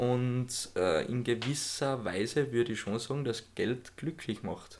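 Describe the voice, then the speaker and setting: An ordinary speaking voice from a man, mid-range in pitch, with normal rise and fall. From Austria. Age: 20s. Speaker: podcast co-host. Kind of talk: casual chat.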